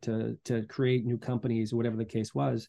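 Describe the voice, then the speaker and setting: Over a quiet background, a man with an American accent talks at a fairly quick pace in a dark, mellow tone. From US Northeast, Boston area (Medfield). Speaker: financial advisor. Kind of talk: interview. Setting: video call.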